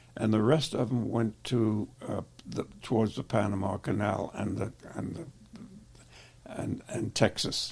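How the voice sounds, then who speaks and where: Somewhat breathy and fairly low in pitch, a man with an American accent talks at a fairly slow pace with ordinary pitch variation. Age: 80s+. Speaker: war veteran. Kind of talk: interview answer.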